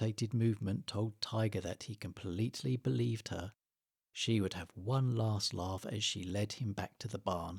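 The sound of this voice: Over a quiet background, pitch varies in an ordinary way in an unforced reading voice.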